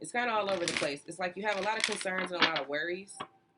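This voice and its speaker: Here is a woman with a normal speaking voice. Her pitch is fairly low and her intonation fairly even. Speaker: tarot reader. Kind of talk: tarot reading monologue. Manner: casual, chatty.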